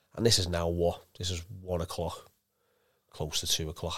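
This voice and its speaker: A man with a Liverpool accent, very deep and low in pitch, monotone and flat, at a moderate pace, on a very clean recording with a silent background. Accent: Scouse. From Liverpool, England. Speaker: former professional footballer. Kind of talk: casual interview.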